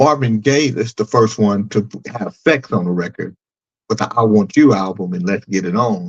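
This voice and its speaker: An ordinary speaking voice from a man, fairly low in pitch, at a moderate pace with ordinary pitch variation. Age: 60s. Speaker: podcast co-host. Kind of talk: casual chat.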